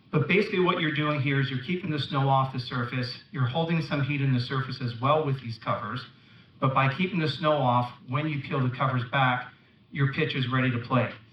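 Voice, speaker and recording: Speaking at a fairly quick pace with a Canadian accent, a man has a fairly high pitch and ordinary pitch variation. Room echo is audible. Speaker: company representative, conference speaker. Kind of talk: conference talk. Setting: stage with audience.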